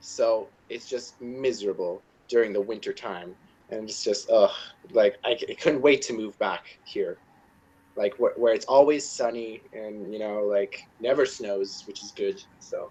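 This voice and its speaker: Speaking at a fairly slow pace, a man with an American accent shows big swings in loudness. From Nevada, Las Vegas. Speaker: college student. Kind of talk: casual chat. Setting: video call.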